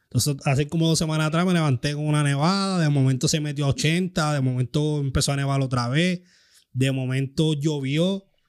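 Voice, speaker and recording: Someone with a Puerto Rican accent speaks at a fairly quick pace with very even loudness and fairly even intonation, on a very clean recording with a silent background. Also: man, fairly high pitch for a man. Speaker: podcast host. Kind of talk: casual chat.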